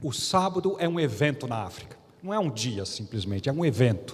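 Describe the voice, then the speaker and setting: A man's fairly high voice in audible room echo. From Brazil. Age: 60s. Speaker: pastor. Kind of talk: sermon. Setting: church.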